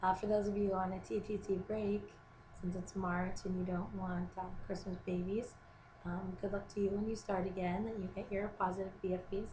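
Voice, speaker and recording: A woman's monotone, flat delivery at a moderate pace, with audible room echo. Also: medium pitch for a woman. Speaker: video blogger. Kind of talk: casual vlog update. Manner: hesitant, many ums.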